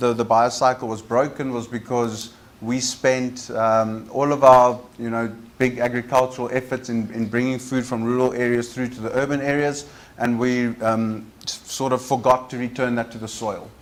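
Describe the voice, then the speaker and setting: With audible room echo around him, a man of medium pitch speaks at a moderate pace in a monotone, flat delivery. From South Africa, Cape Town (Cape Flats). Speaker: waste recycling entrepreneur. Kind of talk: conference presentation. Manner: halting, many fillers.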